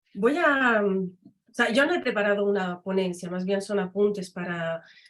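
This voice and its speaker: A woman speaks with a French accent, her pitch rising and falling in an ordinary way. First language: French (speaking Spanish). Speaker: academic and literary translator. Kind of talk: conference talk.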